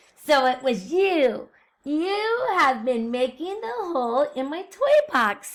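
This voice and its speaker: Using a put-on character voice, a woman talks at a high pitch and a fairly slow pace. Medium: read story.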